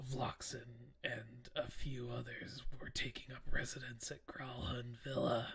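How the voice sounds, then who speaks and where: A man whispering in a put-on character voice at a fairly slow pace. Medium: actual play. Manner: cryptic, evasive.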